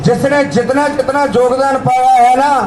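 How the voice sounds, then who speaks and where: With a Punjabi accent, a man talks in an extremely high pitch and a monotone, flat intonation, with audible room echo and crowd noise in the background. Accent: Punjabi-accented Hindi. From Punjab, India. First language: Punjabi (speaking Hindi). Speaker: protest speaker. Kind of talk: protest speech. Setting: outdoor protest rally. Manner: impassioned.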